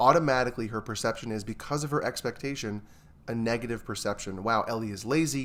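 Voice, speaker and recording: A man speaks with an American accent in a normal speaking voice, at medium pitch with ordinary pitch variation. His pace is fairly quick on a very clean recording with a silent background. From New York. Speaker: therapist. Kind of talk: casual chat.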